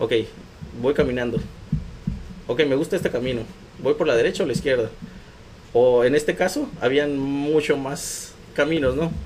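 With a Mexican accent, a man speaks at a moderate pace with ordinary pitch variation and long, frequent pauses amid noticeable background noise. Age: 20s. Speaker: recycling entrepreneur. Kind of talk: interview.

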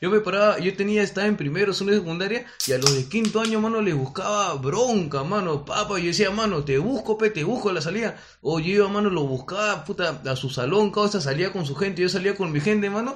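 Noticeable background noise underlies a man talking at a fairly quick pace. His pitch is high and his intonation lively. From Peru, northern Lima (Comas). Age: 20s. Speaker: comedian, podcast co-host. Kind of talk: casual chat.

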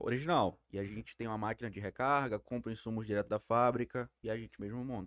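At a very fast pace with hardly any pauses, a man talks at a medium pitch, the sound dry and close with no echo. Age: 20s. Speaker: sport shooter. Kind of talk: casual chat.

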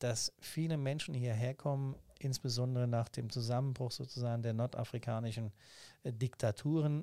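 A man speaks at a medium pitch and moderate pace with a dark, mellow tone and fairly even intonation. The recording is very clean, with a silent background and a dry, close sound with no echo. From Hesse, Germany (Main-Kinzig area near Hanau). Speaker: state politician. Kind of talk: interview.

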